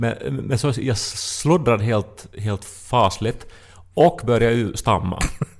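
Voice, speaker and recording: Speaking very slowly, a man uses lively intonation. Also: medium pitch for a man. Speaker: podcast co-host. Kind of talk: casual chat.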